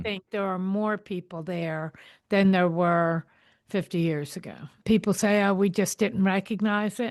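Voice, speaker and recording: A woman with a normal speaking voice talks at a fairly slow pace, at a medium pitch with fairly even intonation, against a quiet background. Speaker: podcast host. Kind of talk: podcast interview.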